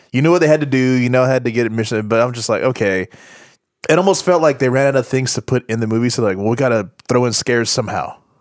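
Speaking with an American accent, a man uses ordinary pitch variation at a medium pitch. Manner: joking, quipping.

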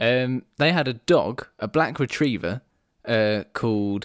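A man at medium pitch with lively intonation, dry and close with no echo, on a very clean recording with a silent background. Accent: Welsh. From Wales. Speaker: podcast co-host. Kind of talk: casual chat.

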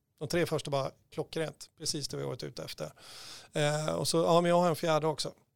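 Recorded dry and close with no echo, a man talks at a very fast pace in a fairly high pitch with fairly even intonation. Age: 50s. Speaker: recruitment consultant. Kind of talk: casual chat.

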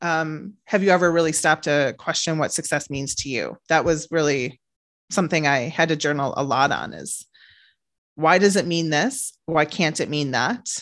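On a very clean recording with a silent background, a woman with a very deep, low pitch talks at a moderate pace with ordinary pitch variation. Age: 30s. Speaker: author and business owner. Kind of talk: casual chat.

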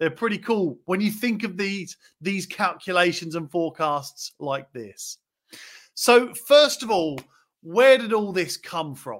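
On a very clean recording with a silent background, someone with an English accent speaks at a fairly slow pace with lively intonation. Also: man, high pitch for a man. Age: 40s. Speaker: property investor podcast host. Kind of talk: solo podcast monologue. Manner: animated.

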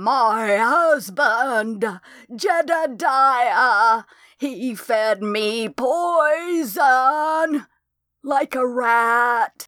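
A female-sounding, high-pitched put-on character voice at a very slow pace, on a very clean recording with a silent background. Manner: spitting, bitter.

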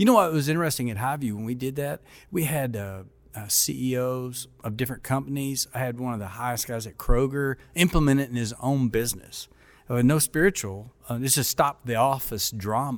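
The speaker has a Kentucky accent and a fairly quick pace. The recording is very clean, with a silent background. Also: man, medium pitch for a man, ordinary pitch variation. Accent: Kentucky Southern US. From Kentucky, small town. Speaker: denominational mission board president and former pastor. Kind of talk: casual interview.

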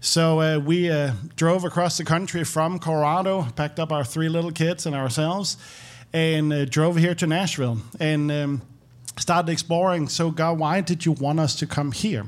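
At a moderate pace, a man speaks at a fairly high pitch with fairly even intonation and very even loudness, on a very clean recording with a silent background. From Denmark. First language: Danish. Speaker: former pastor. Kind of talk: testimony.

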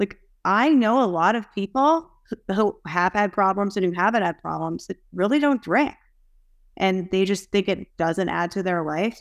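A woman talks in a normal speaking voice at medium pitch and a moderate pace. The recording is very clean with a silent background, and the sound is dry and close with no echo. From US, Boston area. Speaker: recovery advocate. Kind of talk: casual group chat.

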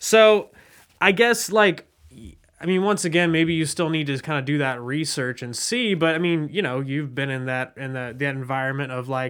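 Using a normal speaking voice, a man with an American accent talks at a moderate pace, fairly high in pitch, with ordinary pitch variation. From Southwest Ohio (West Chester). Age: 20s. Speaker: podcast host, journalist. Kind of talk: interview.

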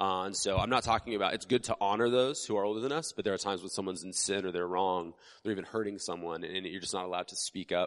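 Against a quiet background, a man with an American accent talks at a very fast pace with hardly any pauses, his fairly low pitch showing ordinary variation. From United States. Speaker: pastor. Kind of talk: sermon. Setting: church with congregation. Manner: casual, conversational with frequent fillers.

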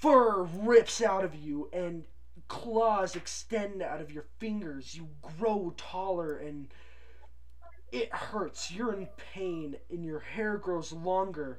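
A man uses a put-on character voice at a high pitch. He speaks very slowly over clear background noise. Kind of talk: horror tabletop narration. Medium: actual play. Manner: casual, relishing gory detail.

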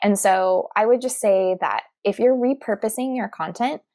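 In a very clean recording with a silent background, a woman with an ordinary speaking voice talks at a fairly slow pace. The sound is dry and close with no echo, her pitch fairly high with ordinary pitch variation. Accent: General American. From Arizona (Tucson). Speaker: podcast and video consultant, former teacher. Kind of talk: interview.

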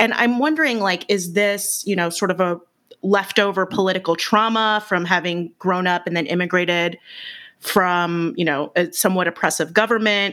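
Over a silent background in a very clean recording, the voice has a bright, sharp tone, ordinary pitch variation and a moderate pace. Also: woman, medium pitch for a woman. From US West Coast, San Francisco Bay Area. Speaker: podcast host. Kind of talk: casual interview chat.

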